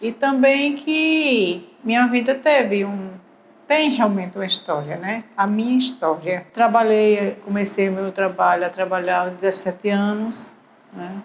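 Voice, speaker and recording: In an unremarkable speaking voice, a woman talks at a medium pitch and a fairly slow pace with lively intonation. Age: 60s. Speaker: retired civil servant. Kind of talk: documentary interview testimony.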